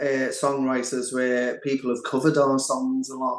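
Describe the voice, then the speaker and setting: At a moderate pace, a man talks with an unremarkable speaking voice pitched fairly high. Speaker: singer and songwriter in a band. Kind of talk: interview. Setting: online call.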